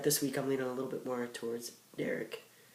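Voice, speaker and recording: There is audible room echo here. The voice belongs to a man. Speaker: vlogger. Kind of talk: casual chat. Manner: halting, many fillers.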